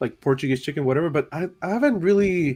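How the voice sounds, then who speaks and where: The man speaks with a fairly high pitch. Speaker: livestream host. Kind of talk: casual chat. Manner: halting, many fillers.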